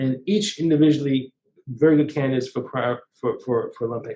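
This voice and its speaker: Somewhat breathy, a man's fairly high-pitched voice carries a dark, mellow tone and ordinary pitch variation. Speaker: breast cancer surgeon. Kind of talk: webinar Q&A interview. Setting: online webinar. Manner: fast; halting, many restarts.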